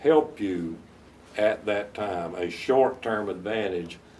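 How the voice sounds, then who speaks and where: A man with a Southern US accent speaks in a fairly low voice. His pace is fairly slow and his pitch varies in an ordinary way. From US South, North Carolina. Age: 70s. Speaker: veteran lawyer. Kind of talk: interview advice to law students. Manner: halting, many repetitions.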